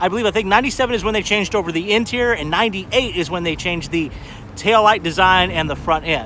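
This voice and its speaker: The speaker is a man going at a very fast pace. Noticeable background noise lies underneath. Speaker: car show vlogger. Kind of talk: live stream walkaround commentary. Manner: casual, hesitant fillers.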